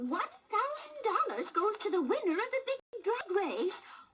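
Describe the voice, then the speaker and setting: A woman performs a cartoonish character voice at a moderate pace. Her pitch swings very widely. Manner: sweet, chirpy, giggly.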